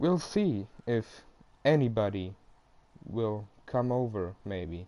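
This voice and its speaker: With a dark, mellow tone and fairly low pitch, a man speaks at a very slow pace with lively intonation. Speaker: gamer streamer. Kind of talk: casual gameplay commentary. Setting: home live stream. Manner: halting. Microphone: poor quality microphone.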